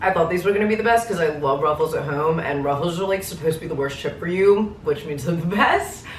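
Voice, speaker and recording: Over noticeable background noise, a woman with an American accent and a fairly low pitch races along at a very fast pace, with hardly any pauses and ordinary pitch variation. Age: 20s. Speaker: travel vlogger. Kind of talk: casual vlog talk. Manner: animated.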